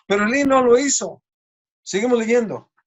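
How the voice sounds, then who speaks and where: The man speaking has a high pitch. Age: 60s. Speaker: preacher. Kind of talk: sermon.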